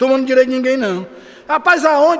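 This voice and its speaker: Over noticeable background noise, a man speaks in an animated tone at an extremely high pitch. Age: 60s. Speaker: pastor. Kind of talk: sermon. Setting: church.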